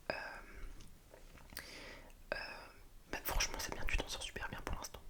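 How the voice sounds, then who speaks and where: A man whispers over noticeable background noise. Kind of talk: ASMR role-play, helping someone revise for a Spanish test. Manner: soft-spoken, whispering.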